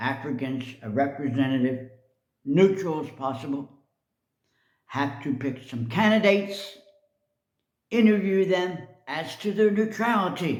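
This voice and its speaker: A man talks at a fairly slow pace with lively intonation and long, frequent pauses, and audible room echo surrounds his voice. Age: 70s. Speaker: video blogger. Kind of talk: personal commentary monologue. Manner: casual, hesitant with fillers.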